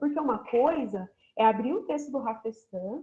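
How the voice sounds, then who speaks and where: Speaking in an interior São Paulo accent, a woman uses a fairly high pitch with ordinary pitch variation. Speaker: university geography professor. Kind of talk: online lecture.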